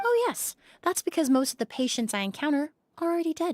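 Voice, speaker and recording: A woman's squeaky, high put-on character voice, very fast, with very wide pitch swings and a dry, close sound with no echo. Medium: video game. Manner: measured.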